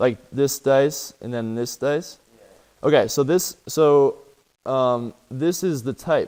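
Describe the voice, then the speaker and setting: Speaking at a very slow pace, a man with a fairly high pitch and a dark, mellow tone shows ordinary pitch variation. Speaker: coding teacher. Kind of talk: lecture.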